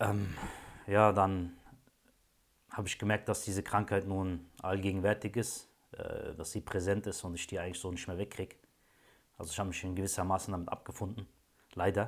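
A man talks at a fairly quick pace in a fairly low pitch, with monotone, flat intonation. Long, frequent pauses break up his speech. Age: 30s. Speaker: client giving a testimonial, train driver. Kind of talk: testimony. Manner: hesitant, many filler sounds. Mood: calm, reflective. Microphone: phone near.

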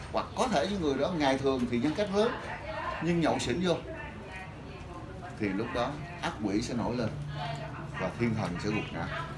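Over noticeable background noise, a man talks at a moderate pace with long, frequent pauses. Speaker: lecturer. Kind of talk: lecture. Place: classroom.

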